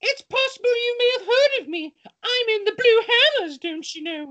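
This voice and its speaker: Using a put-on character voice, a female-sounding speaker talks at a moderate pace with an extremely high pitch for a woman. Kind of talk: comic overacting. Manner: excited, teasing, overacted.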